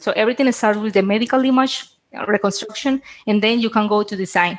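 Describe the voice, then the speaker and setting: The speaker, in a Spanish accent, uses fairly even intonation on a very clean recording with a silent background. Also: woman. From Colombia. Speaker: biomedical engineer. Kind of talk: interview. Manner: halting.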